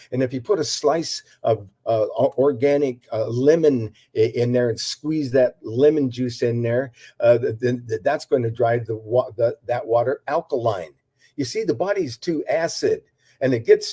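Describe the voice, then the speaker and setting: A man's medium-pitched voice, dark and mellow in tone and somewhat breathy, moves at a moderate pace with ordinary pitch variation in a dry, close sound with no echo. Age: 80s+. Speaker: herbal health practitioner. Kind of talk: interview. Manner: halting, many fillers and repetitions.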